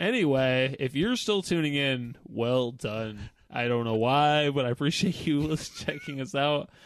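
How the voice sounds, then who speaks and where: Speaking at a fairly slow pace with hardly any pauses, a man uses an ordinary speaking voice, fairly high in pitch with ordinary pitch variation. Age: 30s. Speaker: podcast host. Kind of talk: casual chat.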